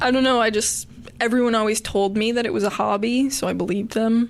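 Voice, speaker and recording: Very rapid delivery from a woman, her pitch fairly high and her intonation fairly even. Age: 20s. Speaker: lead singer of a band. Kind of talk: casual chat. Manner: loud.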